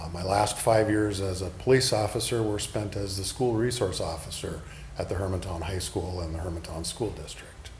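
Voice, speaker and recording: A man's fairly low voice with an American accent, plus audible room echo. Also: ordinary pitch variation, moderate pace. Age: 60s. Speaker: political candidate, retired police officer. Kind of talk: interview.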